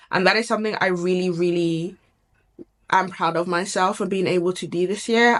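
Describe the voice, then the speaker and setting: Speaking fairly quickly with a British accent, a woman keeps her medium-pitched voice fairly even in intonation. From UK. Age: 20s. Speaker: lifestyle YouTuber. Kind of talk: casual talk to camera.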